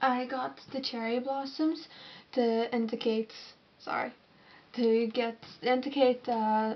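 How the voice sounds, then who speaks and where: A woman's fairly high pitch in a Northern Irish accent, with monotone, flat intonation. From Northern Ireland, Londonderry. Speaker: alternative model and artist. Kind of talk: Q&A vlog. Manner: casual, slightly halting.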